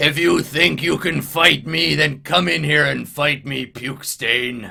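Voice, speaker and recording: A man uses a loud, put-on character voice at a medium pitch. He delivers it at a fairly slow pace. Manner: challenging, defiant.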